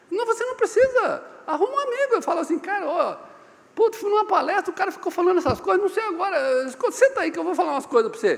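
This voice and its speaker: A man's extremely high pitch with very wide swings at a very fast pace. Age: 60s. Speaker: business consultant and speaker. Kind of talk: seminar talk. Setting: seminar room with live audience. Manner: animated.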